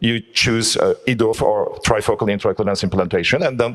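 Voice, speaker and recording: Noticeable background noise accompanies a man talking very fast. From Turkey. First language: Turkish. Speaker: eye surgeon. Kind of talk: panel discussion. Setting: conference hall with audience. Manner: halting.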